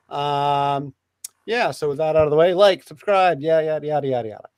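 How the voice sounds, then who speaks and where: This man speaks with a fairly high pitch at a fairly quick pace. His pitch varies in an ordinary way. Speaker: podcast host. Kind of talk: casual discussion livestream. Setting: live stream with co-hosts. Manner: fast; halting, many fillers.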